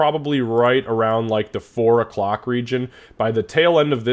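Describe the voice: Reading aloud, plain.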